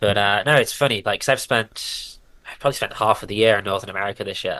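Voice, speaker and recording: A man with a British accent, bright, sharp tone, very fast pace, fairly even intonation and big swings in loudness, over a quiet background. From Britain. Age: 20s. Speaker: professional cyclist. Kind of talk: casual chat.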